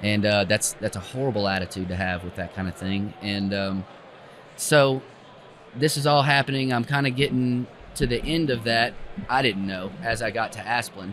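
A medium-pitched man's voice with an Appalachian accent. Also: ordinary pitch variation, moderate pace. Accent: Southern US (Appalachian). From East Tennessee, US South. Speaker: arborist. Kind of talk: casual interview. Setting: tree industry festival.

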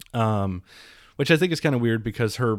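A normal speaking voice at a moderate pace with lively intonation, on a very clean recording with a silent background. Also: man. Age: 30s. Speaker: podcast host and car reviewer. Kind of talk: casual interview chat.

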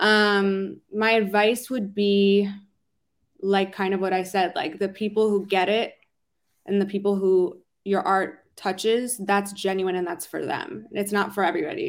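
On a very clean recording with a silent background, a woman talks at a moderate pace and medium pitch in a monotone, flat intonation. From Philadelphia, US. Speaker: R&B singer-songwriter. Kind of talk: interview.

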